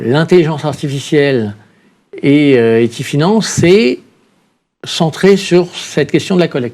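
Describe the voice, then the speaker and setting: Using lively intonation and a fairly high pitch, a man talks at a fairly slow pace with long, frequent pauses. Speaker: rating agency innovation officer. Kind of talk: panel discussion.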